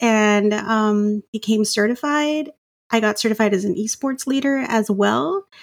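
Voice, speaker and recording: A woman with an American accent talks at a fairly slow pace. Hers is an unremarkable speaking voice with ordinary pitch variation. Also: very even loudness. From US South, Rio Grande Valley, Texas. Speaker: school librarian. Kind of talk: interview conversation.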